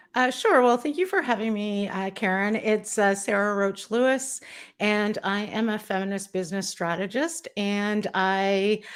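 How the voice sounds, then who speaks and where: With a Canadian accent, a woman speaks in an unremarkable speaking voice at a fairly slow pace, a medium pitch and ordinary pitch variation, on a very clean recording with a silent background. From Canada. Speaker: business strategist. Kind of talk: interview chat.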